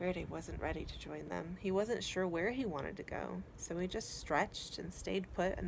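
Someone does plain reading aloud with lively intonation.

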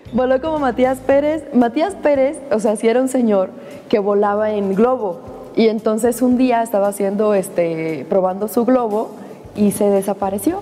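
A woman at a fairly high pitch and moderate pace, ordinary pitch variation, music in the background. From Cuba. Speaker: actress. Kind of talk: interview answer. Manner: casual, upbeat. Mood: playful, animated. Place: studio. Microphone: lapel.

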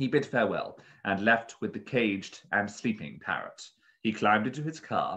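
The voice reads in an unforced way.

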